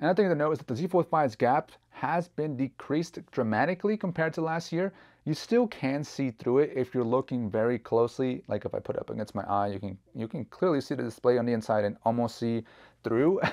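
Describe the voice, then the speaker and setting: The background is quiet as a man speaks at a fairly quick pace. His intonation is lively. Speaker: tech reviewer. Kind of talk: product review talk. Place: home room. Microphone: lapel.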